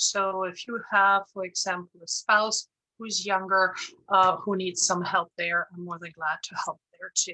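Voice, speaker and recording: With a German accent, a woman speaks fairly slowly in a bright, sharp tone, her intonation monotone and flat while her loudness swings widely. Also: medium pitch for a woman, dry, close sound with no echo. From Germany, Bavaria. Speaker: insurance broker. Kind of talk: presentation. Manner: hesitant, many fillers.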